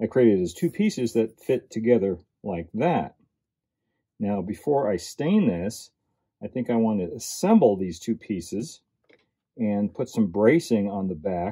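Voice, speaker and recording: Against a quiet background, a man speaks with a fairly low pitch and a dark, mellow tone. He goes at a fairly slow pace with long, frequent pauses. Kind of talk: tutorial. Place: workshop.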